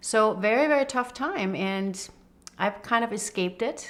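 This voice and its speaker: A woman at a moderate pace, with ordinary pitch variation. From Denmark. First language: Danish. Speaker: HR executive. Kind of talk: interview testimony.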